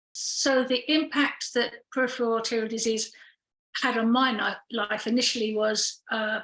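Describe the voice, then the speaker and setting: Her pitch is fairly high and her intonation monotone and flat. This woman talks at a moderate pace. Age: 60s. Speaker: patient with peripheral arterial disease. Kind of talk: personal testimony. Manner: hesitant, many fillers.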